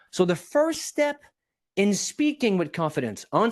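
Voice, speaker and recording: A man with a high voice speaks at a moderate pace in an animated tone, his pitch swinging very widely against a quiet background. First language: not English. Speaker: public speaking coach. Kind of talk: podcast interview.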